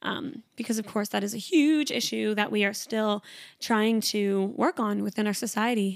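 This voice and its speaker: A woman speaks at a fairly high pitch in an animated tone. The recording is very clean, with a silent background. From Canada. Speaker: podcast host and trainee Pilates instructor. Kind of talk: casual solo chat. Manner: fast talker; animated, chatty.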